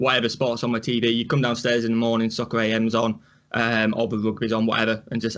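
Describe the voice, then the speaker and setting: A man speaks with a Yorkshire accent. His pace is very fast. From northern England, Rotherham, Yorkshire. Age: 20s. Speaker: sports reaction youtuber. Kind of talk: casual chat.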